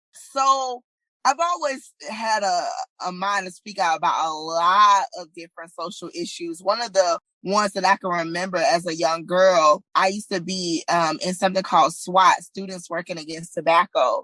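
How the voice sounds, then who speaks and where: A woman with a bright, sharp tone and medium pitch talks at a moderate pace, with ordinary pitch variation and big swings in loudness. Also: dry, close sound with no echo. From US South. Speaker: body image activist. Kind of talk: interview. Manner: casual, with filler words.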